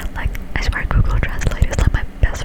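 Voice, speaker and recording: Moderately paced whispering against noticeable background noise. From Finland. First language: Finnish. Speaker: ASMR creator. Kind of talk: whispered ASMR ramble. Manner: casual.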